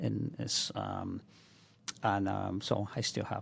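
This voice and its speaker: This is a man speaking. He has a Mexican accent. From Mexico, Michoacan. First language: Spanish. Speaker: chef and restaurant owner. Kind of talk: podcast interview. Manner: halting, many fillers.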